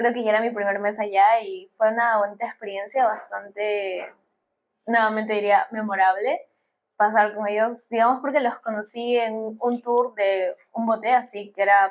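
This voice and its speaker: This woman has an ordinary speaking voice, pitched fairly high. She talks at a moderate pace with fairly even intonation. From Peru. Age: 20s. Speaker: bioengineering student. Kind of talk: podcast interview.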